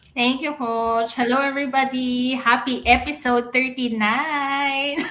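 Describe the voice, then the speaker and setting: A woman's raised, projected voice comes through high-pitched, bright and sharp, monotone and flat, at a fairly slow pace with audible room echo. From Philippines (Manila). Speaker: IT analyst. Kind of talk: live stream chat.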